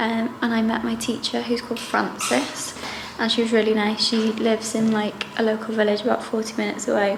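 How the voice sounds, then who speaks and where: A woman speaks fairly quickly in a flat, monotone way at a fairly high pitch. Noticeable background noise and audible room echo surround her voice. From Wales. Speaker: travel vlogger. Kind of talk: casual vlog talk to camera. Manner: soft-spoken.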